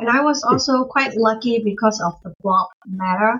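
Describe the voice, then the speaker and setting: A woman with a normal speaking voice and a fairly high pitch. She talks at a fairly slow pace with ordinary pitch variation. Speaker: elementary school teacher and streamer. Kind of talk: casual chat.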